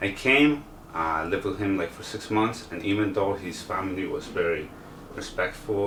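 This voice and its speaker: A man with a fairly low voice speaks at a moderate pace with ordinary pitch variation, over noticeable background noise and audible room echo. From El Salvador. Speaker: real estate agent contestant. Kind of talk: interview. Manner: halting.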